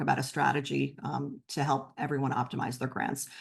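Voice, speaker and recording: Against a quiet background, a woman with a very deep, low voice and vocal fry talks at a very fast pace. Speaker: nonprofit presenter. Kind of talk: webinar presentation. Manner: many filler ums.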